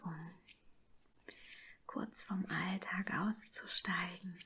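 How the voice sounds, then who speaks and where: A soft-spoken woman in a calm tone, with fairly even intonation and a very slow pace. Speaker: ASMR and meditation creator. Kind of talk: guided meditation. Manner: soft-spoken, slow, calm. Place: home room.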